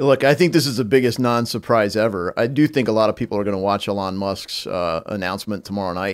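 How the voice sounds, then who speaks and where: Speaking at a very fast pace with hardly any pauses, a man with a Midwestern American accent uses a fairly low pitch and ordinary pitch variation. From US Midwest. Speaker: congressman. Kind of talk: casual chat. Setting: studio.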